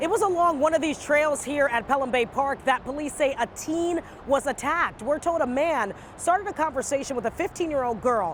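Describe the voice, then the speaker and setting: Over noticeable background noise, a woman talks at a fairly quick pace with a high pitch and lively intonation. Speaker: news anchor and reporter. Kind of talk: TV news read.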